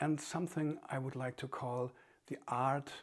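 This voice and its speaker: A man with a German accent speaks at medium pitch in a calm tone and fairly slow pace. The recording is very clean, with a silent background. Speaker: author and meditation teacher. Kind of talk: reflective talk. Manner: calm, halting with fillers.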